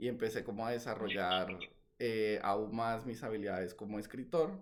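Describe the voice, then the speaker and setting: A man speaks at a moderate pace in a fairly low pitch, his intonation fairly even, with audible room echo. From Colombia, Valledupar (Caribbean coast). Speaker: novelist. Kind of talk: interview. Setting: video call. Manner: hesitant, many fillers.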